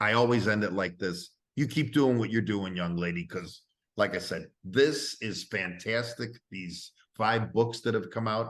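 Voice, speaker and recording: Over a quiet background, a man with a fairly low pitch talks at a fairly slow pace with ordinary pitch variation. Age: 60s. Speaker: interview show host. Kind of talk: casual interview. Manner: animated.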